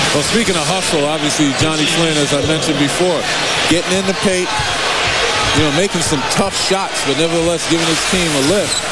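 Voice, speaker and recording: Fairly quick speech with a dry sound, no echo, and loud background noise. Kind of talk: color commentary analyzing the game alongside the play-by-play caller. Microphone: headset.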